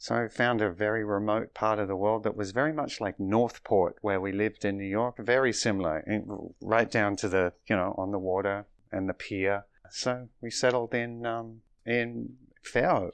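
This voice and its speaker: A man with an Australian accent, fairly low in pitch, at a moderate pace with fairly even intonation against a quiet background. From Australia, Melbourne. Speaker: cancer survivor sharing faith story. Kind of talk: interview.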